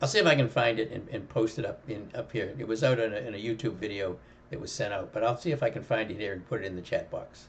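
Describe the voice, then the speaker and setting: Somewhat breathy, a man rattles along at a very fast pace with a medium pitch and ordinary pitch variation. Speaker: options trading educator. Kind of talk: live trading commentary. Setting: live stream. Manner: halting, repeats words.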